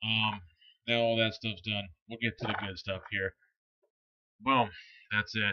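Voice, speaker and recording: Over a quiet background, a man mumbles in a bright, sharp tone with monotone, flat intonation. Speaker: e-cigarette product reviewer. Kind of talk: product review. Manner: casual, hesitant with many fillers; mumbling.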